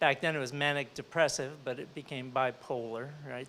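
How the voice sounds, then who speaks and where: Here a man with an unremarkable speaking voice talks at a moderate pace. His pitch is medium and his intonation fairly even. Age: 60s. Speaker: entrepreneur, panelist. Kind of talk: panel discussion.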